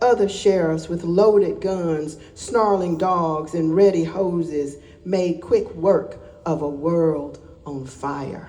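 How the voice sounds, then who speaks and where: A woman with a Southern US accent talks very slowly at a fairly low pitch, with ordinary pitch variation. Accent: Southern American. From Alabama. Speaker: poet. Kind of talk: poetry reading.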